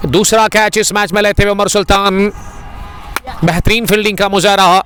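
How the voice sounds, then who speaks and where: Music plays behind a man whose voice is high-pitched. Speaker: cricket commentator. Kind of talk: live commentary. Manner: animated.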